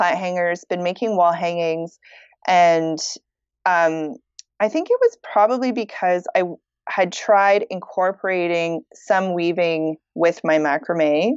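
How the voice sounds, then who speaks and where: In an ordinary speaking voice, a woman with a Canadian accent speaks at a fairly low pitch and a fairly slow pace. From Canada. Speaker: fiber artist. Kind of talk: casual interview chat.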